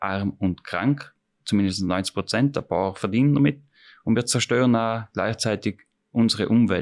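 An ordinary speaking voice from a man at medium pitch and moderate pace, with ordinary pitch variation, in a very clean recording with a silent background. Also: dry, close sound with no echo. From Austria, Tyrol. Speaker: chef. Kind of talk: interview. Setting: restaurant.

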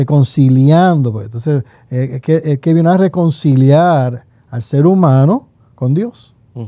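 Against a quiet background with dry sound and no echo, a man talks at a fairly slow pace in a fairly high, dark, mellow voice with ordinary pitch variation. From Puerto Rico (rural, Morovis); Puerto Rico. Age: 50s. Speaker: pastor and theology professor; pastor, theology professor. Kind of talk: casual theological conversation. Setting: seminary library studio. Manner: halting, many repetitions. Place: studio. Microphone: studio mic.

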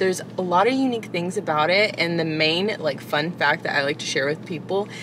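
Ordinary pitch variation at a fairly quick pace, with a dry sound free of echo and noticeable background noise. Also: woman. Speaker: coffee vlogger. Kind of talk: casual vlog chat. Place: car.

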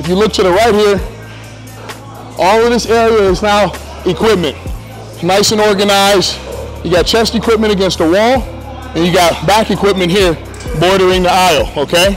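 A man with a high-pitched voice speaks at a moderate pace and very even loudness, leaving long, frequent pauses over clear background music. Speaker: gym owner or coach. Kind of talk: walkthrough commentary. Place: gym. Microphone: lapel.

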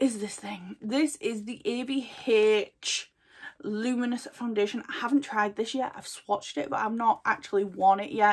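A woman speaks with a British accent. Her background is quiet. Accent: dropped H sounds, regional British. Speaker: beauty vlogger. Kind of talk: casual product haul. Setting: at home desk, filming video. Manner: casual, chatty, filler words. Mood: chatty, enthusiastic. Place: home room. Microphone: phone near.

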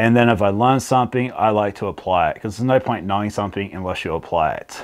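A man's very fast speech against a quiet background. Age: 40s. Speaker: health vlogger. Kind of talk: casual vlog monologue. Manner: animated. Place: studio. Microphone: lapel.

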